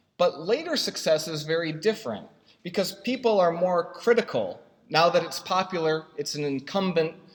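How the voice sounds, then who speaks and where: This man's voice sits at a high pitch with ordinary pitch variation. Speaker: software consultant and conference speaker. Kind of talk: conference talk. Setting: stage with audience and projector. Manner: fast; halting, many fillers.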